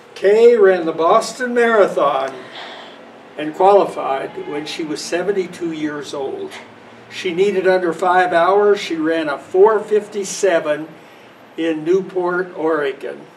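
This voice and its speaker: A man speaks at a high pitch and a fairly slow pace. Noticeable background noise runs underneath. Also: ordinary pitch variation. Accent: American. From US Midwest (Western Kansas). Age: 80s+. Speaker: parishioner, retired runner. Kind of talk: storytelling. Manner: casual, relaxed.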